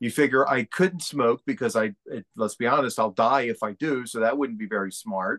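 Here is a man with an ordinary speaking voice at a medium pitch. He keeps a moderate pace with ordinary pitch variation and hardly any pauses, in a dry, close sound with no echo. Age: 50s. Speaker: real estate agent and motivational speaker. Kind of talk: casual interview.

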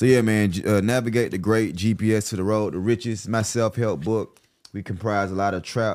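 At a fairly quick pace, a man talks in a fairly low voice with fairly even intonation. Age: 30s. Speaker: podcast host. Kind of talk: casual interview chat; promotional pitch.

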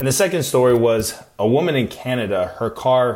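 This man has an American accent and medium pitch. Noticeable background noise can be heard behind him. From US Midwest and Arizona. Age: 20s. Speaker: podcast host and Marine. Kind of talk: casual solo podcast talk.

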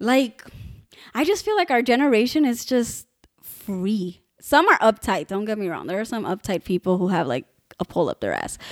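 A woman with a plain, everyday voice, fairly high pitch and lively intonation, at a moderate pace in a very clean recording with a silent background. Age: 20s. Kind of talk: casual chat. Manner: laughs often.

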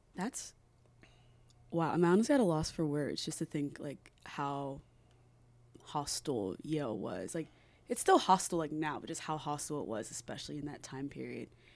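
A woman's very deep, low voice with vocal fry, at a moderate pace with long, frequent pauses and big swings in loudness, on a very clean recording with a silent background. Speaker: student podcast host. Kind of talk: interview. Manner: frequent 'like' fillers.

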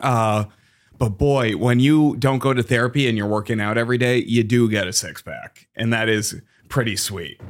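With a plain, everyday voice and an American accent, a man speaks at a moderate pace and medium pitch with fairly even intonation. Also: very clean recording, silent background. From Massachusetts. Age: 30s. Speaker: stand-up comedian. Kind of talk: casual chat.

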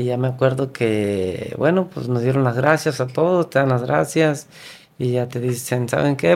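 A man speaks at a fairly slow pace with a northern Mexican accent. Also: very clean recording, silent background. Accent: northern Mexican (Sonoran) Spanish. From Mexico, Sonora (San José de Bacum, near Obregón). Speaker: former professional footballer. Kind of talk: casual chat. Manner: halting.

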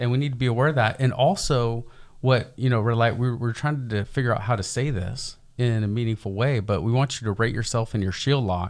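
A man talks at a moderate pace and medium pitch with ordinary pitch variation, in a normal speaking voice. The recording is very clean, with a silent background. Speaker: podcast co-host. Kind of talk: casual podcast discussion.

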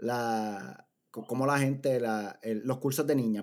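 A man with a Puerto Rican accent, medium pitch and fairly even intonation. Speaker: podcast host. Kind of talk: casual chat.

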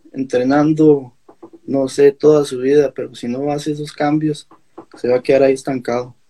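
With a dark, mellow tone, this man holds a fairly high pitch and fairly even intonation. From Costa Rica, Alajuela. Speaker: national judo athlete. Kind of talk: interview.

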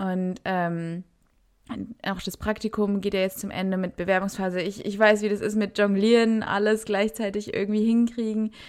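The recording is very clean and the background silent. This woman's intonation is monotone and flat. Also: medium pitch for a woman, moderate pace. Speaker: podcast co-host, university student. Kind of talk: casual chat.

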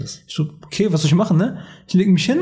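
A man talks in a high pitch. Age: 20s. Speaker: weight-loss coach and naturopath. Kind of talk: casual podcast interview.

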